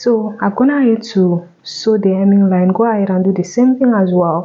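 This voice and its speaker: Soft-spoken, a woman talks at a fairly slow pace and medium pitch with ordinary pitch variation. Noticeable background noise sits behind her. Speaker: tailor. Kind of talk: tutorial.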